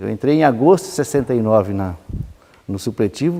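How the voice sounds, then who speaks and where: A man talks at a fairly quick pace. His tone is dark and mellow, with ordinary pitch variation. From Brazil, São Paulo state (interior, then São Bernardo). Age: 60s. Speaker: sociologist and former autoworker. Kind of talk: interview testimony. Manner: halting, with many repetitions and false starts.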